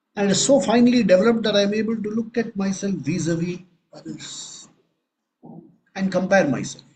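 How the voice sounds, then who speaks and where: Soft-spoken and fairly quick, a man with a high voice and ordinary pitch variation leaves long, frequent pauses. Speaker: spiritual teacher. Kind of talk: spiritual discourse.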